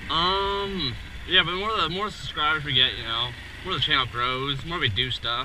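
A man talks at a moderate pace. The sound is dry with no echo, though noticeable background noise is present. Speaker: motovlogger. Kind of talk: casual vlog chat. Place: motorbike. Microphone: helmet.

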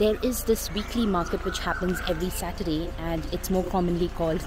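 A woman speaks at a moderate pace in a dry sound with no echo. Noticeable background noise is present. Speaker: travel vlogger. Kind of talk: casual vlog chat. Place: open country. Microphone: phone near.

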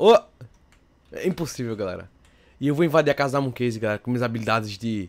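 Lively intonation in the medium-pitched voice of a man. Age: young. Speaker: gaming youtuber. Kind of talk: gameplay commentary. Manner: animated. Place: home room.

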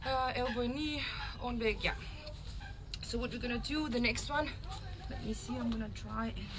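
A woman at a moderate pace, with noticeable background noise. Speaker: fitness instructor. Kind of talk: casual workout instruction. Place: garden. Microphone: camera far.

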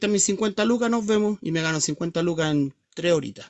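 A man's voice shows ordinary pitch variation against a quiet background. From Chile. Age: 50s. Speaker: livestreamer. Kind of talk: casual chat; casual livestream chat. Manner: halting. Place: home room. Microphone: phone near.

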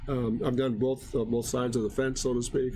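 A man with a medium pitch and a dark, mellow tone is heard with audible room echo. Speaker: design instructor streaming drawing lessons. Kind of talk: live tutorial stream. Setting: live stream.

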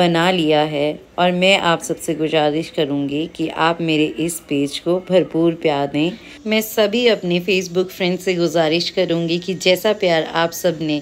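A woman's fairly low-pitched, fairly even voice, an ordinary speaking voice. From Himachal Pradesh, India (Sundernagar, Mandi district); Himachal Pradesh, India. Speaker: vlogger and housewife; vlogger. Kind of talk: direct-to-camera vlog appeal. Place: open country. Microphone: phone near.

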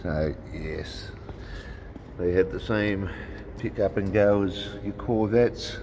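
A man talks at a very slow pace in a very deep, low pitch. There is noticeable background noise. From Australia. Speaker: RC hobby YouTuber. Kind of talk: casual vlog commentary.

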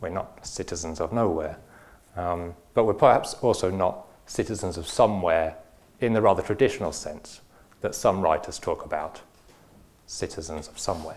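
A man's very deep, low voice with ordinary pitch variation, big swings in loudness, and long, frequent pauses. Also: moderate pace. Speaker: philosopher. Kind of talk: lecture. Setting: stage with audience. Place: hall. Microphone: lapel.

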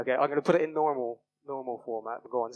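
A man talks very fast at a medium pitch, with ordinary pitch variation.

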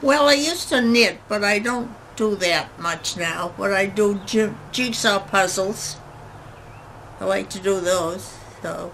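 Very slow speech from a woman with an American accent, medium pitch and ordinary pitch variation over noticeable background noise. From Massachusetts, Randolph. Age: 80s+. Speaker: centenarian. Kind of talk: interview.

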